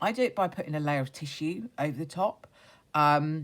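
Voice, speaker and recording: Against a silent background in a very clean recording, a woman with a very deep, low pitch talks at a moderate pace. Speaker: craft youtuber. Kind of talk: tutorial. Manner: casual, hesitant with fillers.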